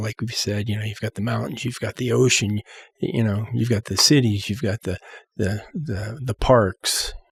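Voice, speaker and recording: Somewhat breathy and fairly low in pitch, a man with an American accent talks at a moderate pace with fairly even intonation, in a dry, close sound with no echo. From US West Coast, San Francisco Bay Area. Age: 60s. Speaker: musician. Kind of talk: casual chat.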